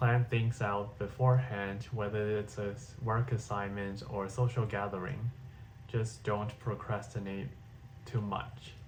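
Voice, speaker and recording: A man talks at a fairly slow pace with a fairly low pitch. His voice is somewhat breathy and his intonation fairly even. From Hong Kong. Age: 20s. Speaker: vlogger. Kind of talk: personal video diary.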